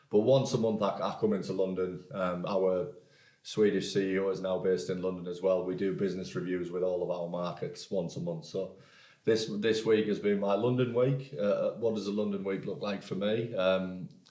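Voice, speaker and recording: With a northeast English accent, a man speaks in a dark, mellow tone at a fairly low pitch with ordinary pitch variation and audible room echo. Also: moderate pace. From northeast England, Hartlepool. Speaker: podcast company executive. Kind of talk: interview. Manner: hesitant, many repeated words.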